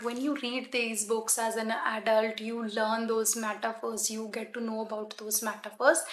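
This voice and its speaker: Amid noticeable background noise, a woman speaks fairly slowly at a fairly high pitch with a Punjabi accent. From Punjab, India. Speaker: book vlogger. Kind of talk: casual book recommendations to camera. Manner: hesitant, frequent ums.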